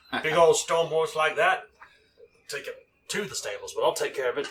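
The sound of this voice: A man puts on a raspy character voice and talks at a fairly quick pace.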